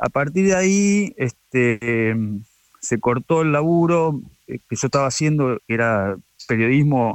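At a fairly slow pace, a man talks with medium pitch and lively intonation. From Argentina, La Plata. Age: 40s. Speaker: photographer. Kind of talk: radio interview. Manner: halting.

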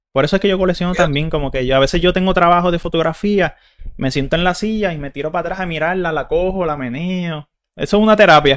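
A man speaks at a very fast pace with a Puerto Rican accent, his pitch high and its variation ordinary, on a very clean recording with a silent background. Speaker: podcast host and streamer. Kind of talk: casual chat. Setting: live stream.

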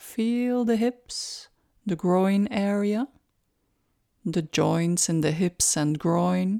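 In a very clean recording with a silent background and a dry, close sound with no echo, a woman with a medium-pitched, dark, mellow, calm, soothing tone speaks at a very slow pace with long, frequent pauses, ordinary pitch variation and very even loudness. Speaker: meditation guide. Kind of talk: guided meditation, slow body-scan instructions. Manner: slow, calm, gently directive with pauses; soft-spoken, soothing repetition of short cues.

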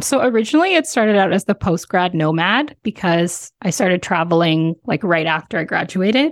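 A woman with a Canadian accent talks at a fairly quick pace with hardly any pauses, in an ordinary speaking voice. Her intonation is lively, her loudness very even, and the sound is dry and close with no echo. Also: medium pitch for a woman, quiet background. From Canada. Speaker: sex educator and travel content creator. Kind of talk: casual interview chat. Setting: remote recording from home.

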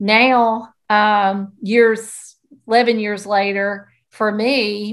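A woman in a Southern US accent, medium in pitch and monotone, with flat intonation, over a quiet background. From US South. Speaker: podcast co-host, school counselor. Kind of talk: casual chat.

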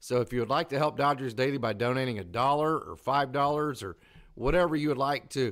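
A man at a fairly quick pace in a very clean recording over a silent background. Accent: Oklahoma. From Oklahoma. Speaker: baseball podcast host. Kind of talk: casual sports talk show. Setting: live stream.

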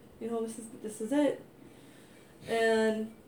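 Audible room echo surrounds a woman speaking in an American accent. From US Midwest, North County. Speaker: host's wife. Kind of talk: testimony.

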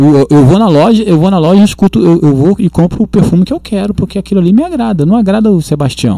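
A man talks at a very fast pace with lively intonation, his high-pitched voice carrying a dark, mellow tone. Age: 40s. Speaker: worship leader. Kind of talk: casual chat.

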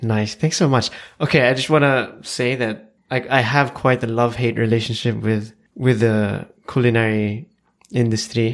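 At a moderate pace and medium pitch, a man talks in a normal speaking voice with fairly even intonation. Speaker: vegan chef. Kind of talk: casual interview chat.

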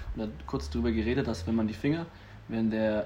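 Fairly quick, somewhat breathy delivery. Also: man. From Franconia, Germany (Nuremberg). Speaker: nurse. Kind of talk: casual chat.

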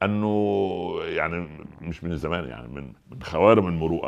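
A man with an Egyptian accent, very deep and low in pitch, at a moderate pace with ordinary pitch variation. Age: 60s. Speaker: preacher. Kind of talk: sermon. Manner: animated.

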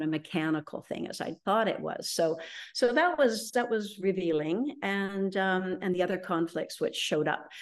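A woman speaks with an unremarkable speaking voice at medium pitch, with a Canadian accent. Her pace is moderate, and the background is quiet. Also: lively intonation. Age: 60s. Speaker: feng shui consultant. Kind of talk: interview testimony.

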